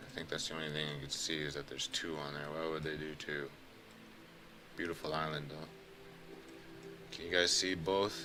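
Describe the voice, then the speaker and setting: Amid noticeable background noise and audible room echo, a man with a very deep, low pitch talks at a moderate pace with fairly even intonation and long, frequent pauses. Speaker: YouTuber narrating Google Earth screen recording. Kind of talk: casual screen-share commentary. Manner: monotone; casual, rambling asides.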